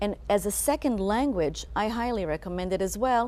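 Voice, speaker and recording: A woman speaks with an Israeli accent. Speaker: co-director of a children's reading program. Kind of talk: TV interview.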